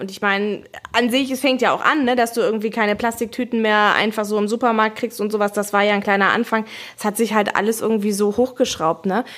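A woman's voice, fairly quick in pace, with fairly even intonation. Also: fairly high pitch for a woman. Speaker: corporate podcast host. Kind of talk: casual chat.

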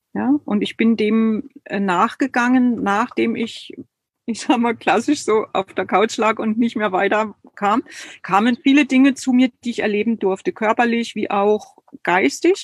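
The voice is somewhat breathy, at a fairly slow pace with ordinary pitch variation. It sounds dry and close, with no echo. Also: woman, fairly high pitch for a woman. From East Germany. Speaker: creative and body therapist. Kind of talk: online live interview.

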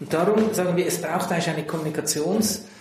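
Pitched high for a man, his voice moves with ordinary pitch variation, and the recording carries audible room echo and noticeable background noise. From Central Switzerland. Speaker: tech company manager. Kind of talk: interview. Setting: in person.

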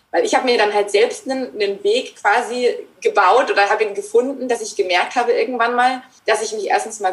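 A woman with a high pitch speaks at a fairly quick pace, her voice making very wide pitch swings. Noticeable background noise can be heard. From Germany. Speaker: author and mindfulness trainer. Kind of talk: interview. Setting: remote call.

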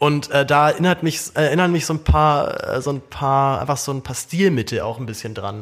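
A man with a fairly high pitch talks at a fairly quick pace with ordinary pitch variation, on a very clean recording with a silent background. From Germany. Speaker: podcast host. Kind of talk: casual chat. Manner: repeats words, halting.

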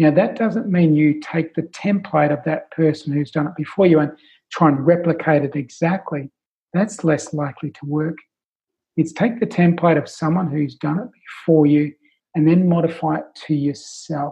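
A man with an Australian accent speaks at a fairly high pitch. His pace is moderate and his pitch varies in an ordinary way. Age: 50s. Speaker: life coach. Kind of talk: interview.

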